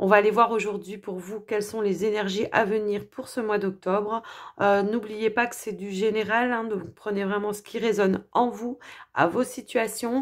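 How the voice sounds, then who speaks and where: Flat, monotone intonation runs through this woman's fairly high voice on a very clean recording with a silent background. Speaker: tarot and oracle card reader. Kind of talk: astrology card reading. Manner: hesitant, many filler sounds.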